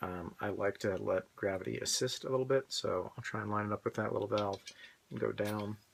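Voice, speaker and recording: A man speaks quietly. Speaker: prop weapons supplier. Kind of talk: tutorial demonstration.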